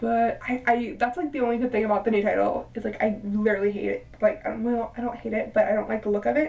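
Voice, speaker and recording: An animated woman talks at a very fast pace with hardly any pauses against noticeable background noise. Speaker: wrestling vlogger. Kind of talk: casual video review monologue.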